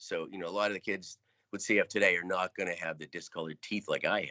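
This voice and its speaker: Speaking at a very fast pace, a man has an American accent. His tone is bright and sharp, and the sound is dry and close with no echo. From upstate New York, near Syracuse. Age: 60s. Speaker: cystic fibrosis patient sharing life story. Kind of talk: personal talk with slideshow.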